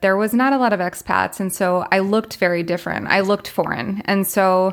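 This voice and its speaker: A woman speaks in an American accent with an ordinary speaking voice. Her pitch is medium and her pace moderate. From US South, Florida. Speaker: international school teacher. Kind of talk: interview.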